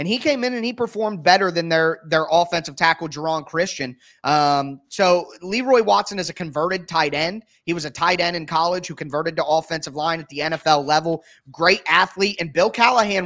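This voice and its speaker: A man's high, bright and sharp voice at a fairly quick pace with hardly any pauses, ordinary pitch variation and a quiet background. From Ohio. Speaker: football podcast host. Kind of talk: casual interview. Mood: enthusiastic, analytical. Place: home room. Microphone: video call.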